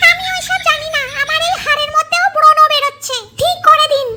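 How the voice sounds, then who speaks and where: This put-on character voice sits at an extremely high pitch. It moves along at a fairly quick pace. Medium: comedy sketch.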